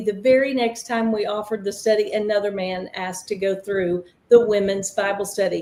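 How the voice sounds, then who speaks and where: At a moderate pace, a woman with a Southern US accent speaks in a dark, mellow tone. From Tennessee, US South. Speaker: ministry founder and recovery counselor. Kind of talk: panel interview, personal testimony.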